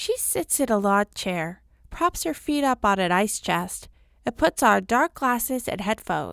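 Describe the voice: Someone gives a plain reading of a text aloud.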